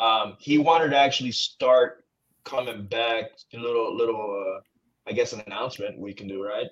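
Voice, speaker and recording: In a slight Texas accent, a man speaks with big swings in loudness. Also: moderate pace. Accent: slight Texas twang. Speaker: podcast host. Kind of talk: casual chat. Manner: animated.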